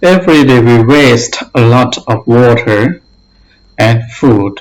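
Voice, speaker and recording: The man's pitch is medium, with ordinary variation. His voice is somewhat breathy. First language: not English. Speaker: English learner / teacher. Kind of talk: reading aloud; tutorial.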